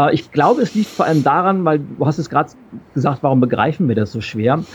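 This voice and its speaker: An ordinary speaking voice from a man, fairly high in pitch, with lively intonation. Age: 40s. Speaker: keynote speaker and change expert. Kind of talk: interview.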